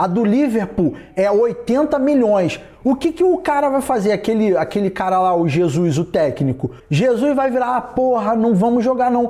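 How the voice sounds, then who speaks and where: This man's voice is extremely high in pitch and swings very widely up and down. His loudness stays very even throughout. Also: moderate pace. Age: 30s. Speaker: podcast host, distance-education worker. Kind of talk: casual solo podcast monologue.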